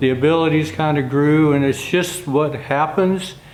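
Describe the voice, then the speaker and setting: A man with a fairly high pitch speaks in a monotone, flat way amid noticeable background noise and audible room echo. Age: 60s. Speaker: wagon and carriage builder. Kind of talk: casual vlog talk to camera.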